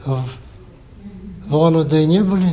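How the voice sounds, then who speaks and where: Noticeable background noise runs through the clip. There is audible room echo as well. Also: man. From Russia, Yakutia (Yakutsk). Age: 70s. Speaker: table tennis veteran, teacher. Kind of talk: interview.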